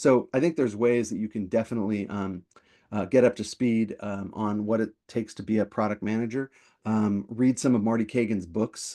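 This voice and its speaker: Against a quiet background, a man talks at a fairly quick pace. His intonation stays fairly even. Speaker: product management coach and webinar host. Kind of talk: webinar Q&A. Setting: online webinar. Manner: fast; many fillers and repetitions.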